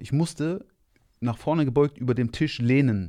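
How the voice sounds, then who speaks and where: A man's medium-pitched voice, dark and mellow in tone, at a moderate pace with lively intonation, in a very clean recording with a silent background. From Rhineland, Germany (Monheim). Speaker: kung fu teacher. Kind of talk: casual chat.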